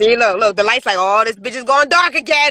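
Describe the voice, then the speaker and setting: Raising and projecting her voice, a woman speaks in a bright, sharp, animated tone with lively intonation, the sound dry and close with no echo. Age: 40s. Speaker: podcast host. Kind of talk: casual chat. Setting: in a car.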